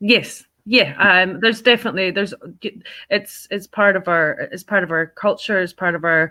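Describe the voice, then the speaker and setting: This speaker has a Scottish accent and ordinary pitch variation. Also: woman, medium pitch for a woman, moderate pace. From Scotland. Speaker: fundraising organisation director. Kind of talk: podcast interview. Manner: hesitant, many fillers.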